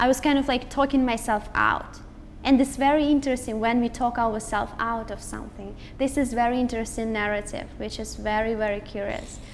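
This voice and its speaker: Fairly quick and fairly even in intonation, a woman with a Russian accent speaks in a fairly high voice. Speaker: motivational speaker. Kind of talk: interview conversation.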